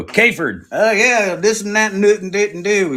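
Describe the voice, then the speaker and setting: A man puts on a drawling character voice with a put-on Indiana accent, pitched high, with ordinary pitch variation, a moderate pace and light background noise. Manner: lazy, slurred drawl.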